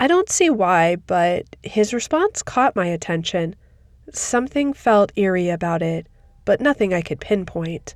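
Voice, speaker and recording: A normal speaking voice at a moderate pace with lively intonation, on a very clean recording with a silent background. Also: woman. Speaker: narrator. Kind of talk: horror story narration.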